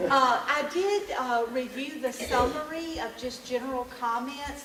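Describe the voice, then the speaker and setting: A loud woman at a high pitch and fairly slow pace, with noticeable background noise and audible room echo. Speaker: education presenter. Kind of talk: public presentation.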